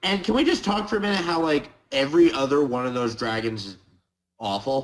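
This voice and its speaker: A man talks at a fairly quick pace with a fairly high pitch. His voice swings very widely up and down. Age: 20s. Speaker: card game player. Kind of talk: casual podcast interview.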